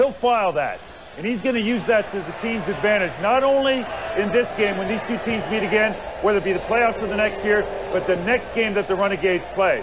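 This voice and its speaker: A high-pitched man speaking fairly quickly over noticeable background noise. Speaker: football analyst, former lineman. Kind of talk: sports analysis. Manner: animated.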